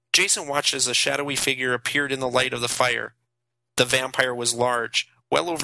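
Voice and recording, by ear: Someone reads aloud in a natural voice, the intonation fairly even and the background quiet.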